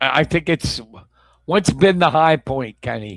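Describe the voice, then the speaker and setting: An unremarkable speaking voice from a man at a moderate pace with lively intonation, dry and close with no echo, very clean against a silent background. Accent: American. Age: 50s. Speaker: sports talk show host. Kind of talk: casual chat.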